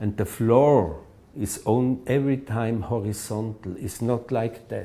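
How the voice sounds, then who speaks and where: A man with a non-native accent, medium in pitch, dark and mellow in tone, at a fairly slow pace. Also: ordinary pitch variation. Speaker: architect. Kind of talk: interview answer. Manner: halting.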